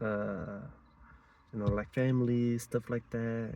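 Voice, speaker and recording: A quiet man's voice at medium pitch. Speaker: vlogger. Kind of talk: personal testimony. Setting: outdoors, in or by a car at a mountain spot. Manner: hesitant, halting.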